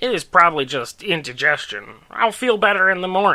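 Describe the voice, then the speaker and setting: At a fairly quick pace, a man does a put-on character voice at a high pitch, recorded very cleanly against a silent background. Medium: read story. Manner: growling when riled.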